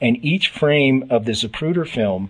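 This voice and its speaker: At a fairly slow pace, a man uses an ordinary speaking voice with ordinary pitch variation against a quiet background. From Canada. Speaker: radio host. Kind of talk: radio interview.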